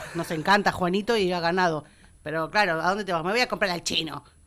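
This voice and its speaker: Here a woman speaks at a very fast pace. Her pitch is medium. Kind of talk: casual radio panel discussion.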